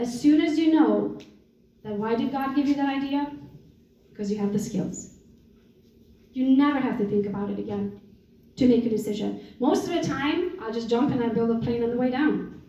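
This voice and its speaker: At a moderate pace with lively intonation, the speech has long, frequent pauses and audible room echo. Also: woman. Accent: Romanian. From Romania. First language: Romanian. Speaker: real estate entrepreneur and coach. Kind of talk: motivational talk. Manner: animated.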